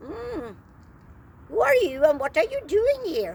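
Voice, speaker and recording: A woman does a put-on character voice that is squeaky and high-pitched, with very wide pitch swings. She talks at a fairly slow pace with big swings in loudness. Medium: read story.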